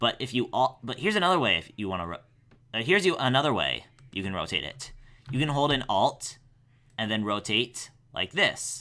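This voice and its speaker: Vocal fry and a bright, sharp tone come with very wide pitch swings. Long, frequent pauses break up the speech, and the recording is very clean with a silent background. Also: man, medium pitch for a man. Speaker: animator. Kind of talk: tutorial. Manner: halting, stuttering; fast.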